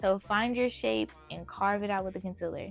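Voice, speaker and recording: Background music can be heard. The talking goes at a fairly quick clip. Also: woman. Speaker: beauty vlogger. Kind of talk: makeup tutorial. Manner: casual, chatty; talking loudly.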